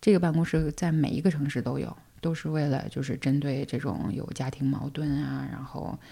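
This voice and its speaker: A woman's very deep, low voice with vocal fry. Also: ordinary pitch variation, moderate pace. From China. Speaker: single mother sharing her story. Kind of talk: personal story in casual interview.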